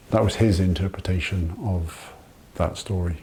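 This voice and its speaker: A man's fairly low-pitched voice with a Welsh accent and fairly even intonation. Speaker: farmer. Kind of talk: interview testimony.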